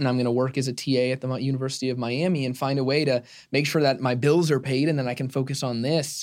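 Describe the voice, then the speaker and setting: A man's medium-pitched voice in an American accent, very fast and monotone with flat intonation, in a very clean recording over a silent background. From Arizona. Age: 20s. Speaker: media company CEO. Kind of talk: interview.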